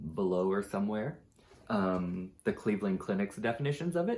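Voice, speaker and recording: This is an unremarkable speaking voice with an American accent and ordinary pitch variation. The recording is very clean, with a silent background. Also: man. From Texas-Mexico border. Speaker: mental health vlogger. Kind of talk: personal explainer video. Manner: casual, many fillers.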